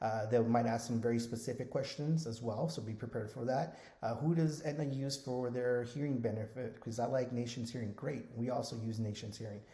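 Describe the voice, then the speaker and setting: At a fairly quick pace with hardly any pauses, a man talks at a medium pitch with fairly even intonation, and audible room echo. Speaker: Medicare insurance agent trainer. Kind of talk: tutorial. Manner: fast.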